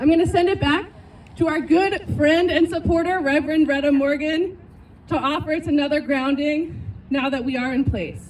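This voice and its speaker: Loud speech at a moderate pace with fairly even intonation. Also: woman, high pitch for a woman. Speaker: activist organizer. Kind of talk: rally speech.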